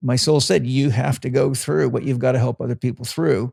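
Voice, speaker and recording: Recorded very cleanly against a silent background, a man talks at a fairly quick pace in a somewhat breathy voice. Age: 60s. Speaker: holistic health coach and trainer. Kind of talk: casual interview chat. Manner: animated.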